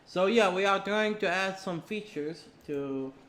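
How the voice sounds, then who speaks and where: Male speech with ordinary pitch variation, moderately paced. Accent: Arabic. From Saudi Arabia. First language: Arabic. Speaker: game programmer streamer. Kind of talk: live coding stream. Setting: live stream. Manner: halting.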